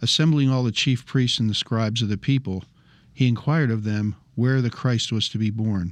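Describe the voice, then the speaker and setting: A plain, everyday voice moves at a moderate pace with ordinary pitch variation. The background is quiet. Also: man. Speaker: Bible study participant. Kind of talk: scripture reading and discussion.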